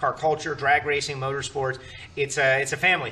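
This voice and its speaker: This man talks at a fairly quick pace. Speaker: show host. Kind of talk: roundtable host introduction. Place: studio. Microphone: podium.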